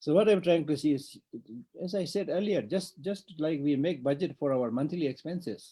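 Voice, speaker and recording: The speech comes at a fairly quick pace in a Tibetan accent, with lively intonation. The tone is dark and mellow. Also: man. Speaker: Buddhist monk teacher. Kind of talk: dharma teaching.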